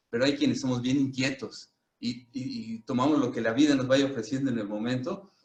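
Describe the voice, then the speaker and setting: A man at medium pitch, a normal speaking voice, with ordinary pitch variation and a moderate pace. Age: 60s. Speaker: Reiki master and psychologist. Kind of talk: casual chat.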